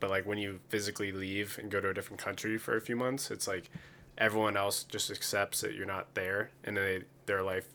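With an American accent, a man speaks at a fairly quick pace in a fairly low pitch, his tone bright and sharp, on a very clean recording with a silent background. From rural Pennsylvania. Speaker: podcast co-host. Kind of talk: casual chat.

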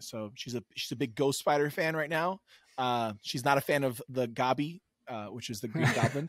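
In a normal speaking voice, a man talks at a moderate pace and medium pitch with ordinary pitch variation, the sound dry and close with no echo. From New York City. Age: 30s. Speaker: comic book content creator. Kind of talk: casual chat.

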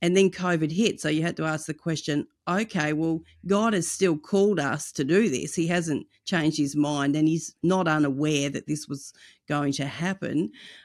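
On a very clean recording with a silent background, a woman with an Australian accent speaks at a very deep, low pitch with ordinary pitch variation. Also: moderate pace. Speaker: evangelism ministry director. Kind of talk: interview.

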